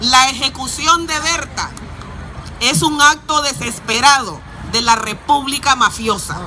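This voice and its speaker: Over crowd noise, a woman with a Honduran accent uses a raised, projected voice, high in pitch with ordinary pitch variation, at a moderate pace. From Honduras. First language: Spanish. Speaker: activist. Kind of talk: rally speech; reading aloud.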